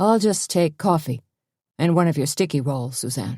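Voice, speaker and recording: A growling put-on character voice at a low-to-middle pitch moves at a moderate pace in a very clean recording with a silent background. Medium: read story. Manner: mild, casually prying.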